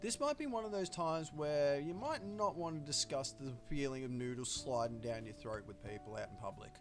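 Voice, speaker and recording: With music playing behind him, a man with an Australian accent talks fairly quickly at a medium pitch, with very wide pitch swings and hardly any pauses. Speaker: gaming streamer. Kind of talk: let's play commentary.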